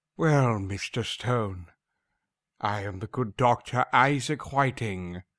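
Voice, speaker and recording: Speaking at a very slow pace, a man with a medium pitch shows ordinary pitch variation in a dry, close sound with no echo. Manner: menacing, mocking, commanding.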